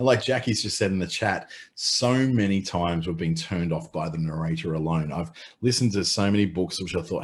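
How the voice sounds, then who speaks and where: In an Australian accent, an animated voice moves at a fairly quick pace with ordinary pitch variation over a quiet background. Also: man. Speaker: webinar presenter, former radio voice. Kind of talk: webinar presentation. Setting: online webinar. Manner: casual, animated.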